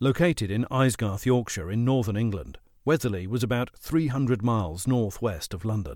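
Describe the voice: Someone reads aloud plainly, the pitch moving in an ordinary way.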